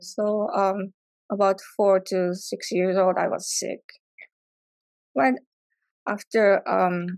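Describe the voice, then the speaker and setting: In a Japanese accent, a woman at a medium pitch speaks very slowly with long, frequent pauses and fairly even intonation, the sound dry and close with no echo. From Japan, near Tokyo. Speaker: artist. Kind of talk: artist talk presentation. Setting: live event with audience. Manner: halting, many fillers.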